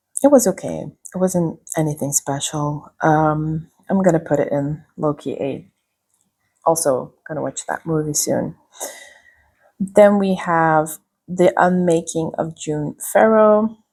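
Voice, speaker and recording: A woman with a non-native accent speaks very slowly at a fairly low pitch. Her tone is dark and mellow, with ordinary pitch variation. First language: not English. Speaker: booktuber. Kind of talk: casual vlog book review. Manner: casual, filler-heavy with frequent ums.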